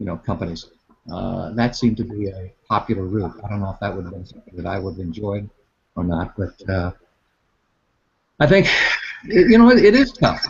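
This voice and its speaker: The speaker is somewhat breathy and talks at a fairly quick pace with ordinary pitch variation, long, frequent pauses, and big swings in loudness. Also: man, fairly low pitch for a man. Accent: American. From Northwest Iowa, US Midwest. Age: 60s. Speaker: meteorologist. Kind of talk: interview. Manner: halting.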